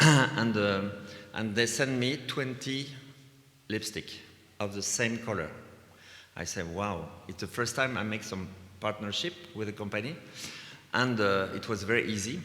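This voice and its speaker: Through audible room echo, a man with a fairly low pitch and a bright, sharp tone speaks at a fairly slow pace, with ordinary pitch variation and long, frequent pauses. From France, Vendée. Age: 60s. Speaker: visual artist. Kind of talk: lecture. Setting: stage with audience. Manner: halting.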